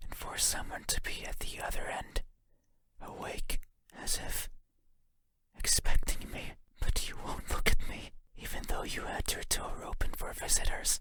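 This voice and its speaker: In a raspy, extremely high-pitched put-on character voice, a man speaks at a moderate pace with long, frequent pauses. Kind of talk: horror game monologue. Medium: game voice lines. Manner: soft-spoken, slow.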